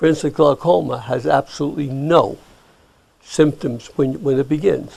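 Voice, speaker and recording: Vocal fry runs through a man's fairly high voice as he speaks at a moderate pace with ordinary pitch variation. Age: 80s+. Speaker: optometrist. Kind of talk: interview.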